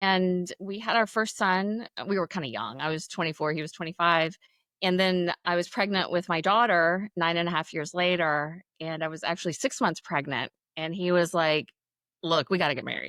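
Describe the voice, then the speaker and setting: A woman's bright, sharp voice, with ordinary pitch variation, comes through a very clean recording with a silent background and a dry, close sound with no echo. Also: fairly low pitch for a woman, moderate pace. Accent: American. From US South, western North Carolina mountains. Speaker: reality TV contestant. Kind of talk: podcast interview.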